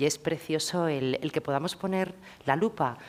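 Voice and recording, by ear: At a moderate pace, a woman talks with ordinary pitch variation.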